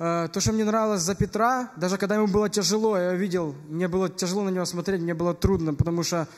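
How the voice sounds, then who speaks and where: Against a quiet background, a man talks very fast in a high voice with fairly even intonation. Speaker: speaker. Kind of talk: eulogy testimony. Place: church. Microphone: podium.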